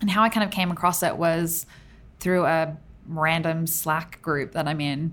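Speaking at a moderate pace, a woman with an Australian accent has a fairly low pitch. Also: fairly even intonation. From Australia, Tamworth (regional New South Wales). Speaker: designer and art director. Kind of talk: casual interview chat. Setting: studio.

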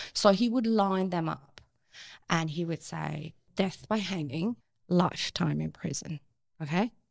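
The speaker talks at a fairly slow pace in a Persian accent, with long, frequent pauses. Pitch varies in an ordinary way. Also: woman, fairly low pitch for a woman. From Iran. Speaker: activist and actress. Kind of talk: interview.

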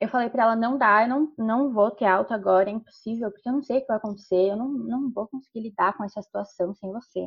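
This woman's voice is somewhat breathy and fairly high-pitched, with fairly even intonation. She talks at a very fast pace with hardly any pauses. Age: 20s. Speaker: university student. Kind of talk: interview.

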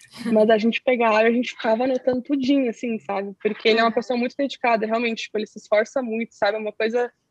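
Fairly high in pitch, a woman talks at a fairly quick pace with monotone, flat intonation. Her voice sounds dry and close, with no echo. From southern Brazil (Pelotas, Rio Grande do Sul). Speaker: activist explaining Palestinian issues. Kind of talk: interview.

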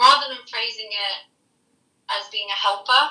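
Speaking at a moderate pace, a woman talks with an American accent. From UK. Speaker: professional nanny. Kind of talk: interview.

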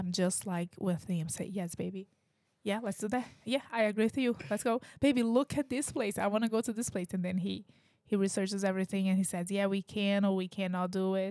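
A woman with a Brazilian Portuguese accent, dark, mellow tone, medium pitch, ordinary pitch variation and fairly quick pace, in a dry, close sound with no echo. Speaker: podcast host and parent. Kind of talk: casual chat.

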